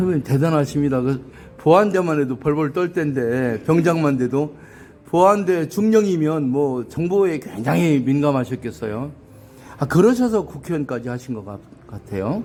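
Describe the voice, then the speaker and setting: Using a normal speaking voice, a man talks at a moderate pace in a fairly high pitch with lively intonation and big swings in loudness. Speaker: YouTube interviewer, ex-army officer. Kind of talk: interview. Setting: hotel. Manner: formal.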